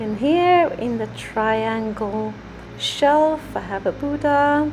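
The pace is very slow. A woman speaks over light background noise. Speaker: home DIY creator. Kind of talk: room tour narration. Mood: calm, proud. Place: bathroom. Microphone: phone near.

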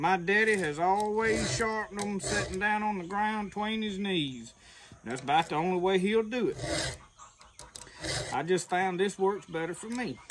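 Over noticeable background noise, a man talks at a moderate pace in a high voice with ordinary pitch variation. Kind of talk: tutorial. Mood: relaxed, folksy. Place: open country. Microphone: camera far.

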